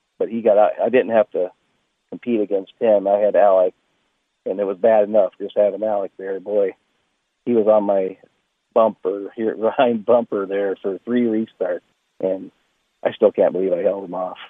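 A man with an American accent talks at a moderate pace. He leaves long, frequent pauses. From Iowa, US Midwest. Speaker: racecar driver. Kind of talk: casual interview.

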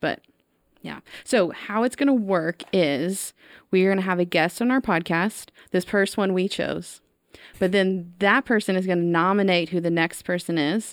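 With an American accent, a woman speaks in an unremarkable speaking voice at a moderate pace, her medium pitch showing ordinary variation. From East Texas (Tyler). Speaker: podcast host, school innovation director. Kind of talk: casual interview chat.

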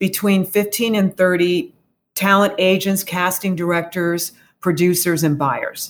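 At a fairly slow pace, a woman speaks in a plain, everyday voice at a medium pitch. Her loudness is very even and her intonation fairly even. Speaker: voice arts society representative. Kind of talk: casual interview.

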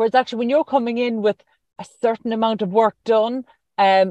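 A woman speaks with an Irish accent and ordinary pitch variation, in a dry, close sound with no echo. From rural Ireland. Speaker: radio host. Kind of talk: interview.

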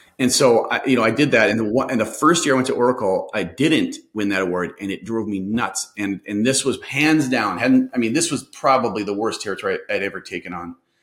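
At a fairly quick pace with hardly any pauses, a man speaks at a medium pitch with ordinary pitch variation. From Minnesota. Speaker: sales consultant. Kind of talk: interview.

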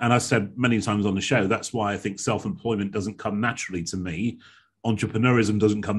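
Against a quiet background, a man with a fairly low pitch talks at a very fast pace with fairly even intonation. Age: 40s. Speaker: podcast host, speaking coach. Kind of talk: interview conversation. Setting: video call.

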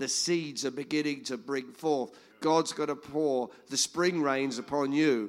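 At a fairly slow pace, a man talks in a normal speaking voice with a fairly high pitch and fairly even intonation. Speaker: church member sharing a scripture. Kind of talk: sharing a word. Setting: church gathering with audience.

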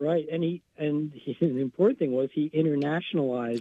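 This man has a normal speaking voice with fairly even intonation. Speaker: local naturalist columnist. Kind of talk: reading aloud.

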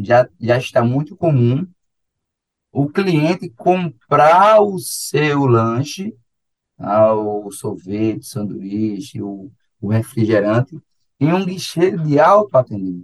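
Very slowly, a man with a medium pitch talks in very wide pitch swings. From Brazil, Paraíba (João Pessoa). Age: 30s. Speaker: geography teacher. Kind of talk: radio lecture. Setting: radio studio. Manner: animated.

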